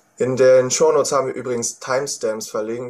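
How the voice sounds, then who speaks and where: Speaking at a fairly quick pace, a man uses a plain, everyday voice at medium pitch with fairly even intonation. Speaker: student podcast host. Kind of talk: scripted narration.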